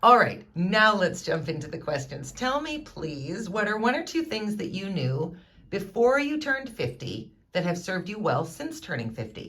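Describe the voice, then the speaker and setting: With a bright, sharp tone and very wide pitch swings, a woman talks at a moderate pace and medium pitch amid audible room echo. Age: 40s. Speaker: livestream host. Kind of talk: interview. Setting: livestream.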